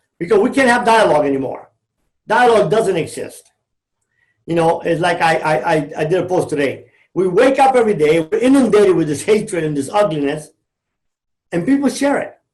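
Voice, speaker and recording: Speaking with a Cuban-American accent, a man uses a high pitch, lively intonation and an animated tone at a fairly quick pace, broken by long, frequent pauses. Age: 60s. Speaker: former drug trafficker turned motivational speaker. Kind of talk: podcast interview.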